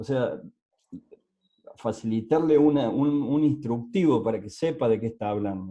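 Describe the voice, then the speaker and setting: Talking at a fairly slow pace with long, frequent pauses, a man speaks in an Argentine accent. His dark, mellow voice sits at medium pitch with ordinary pitch variation. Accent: Argentine Spanish (Rioplatense). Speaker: adoptee rights advocate. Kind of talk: casual chat. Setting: video call. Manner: halting.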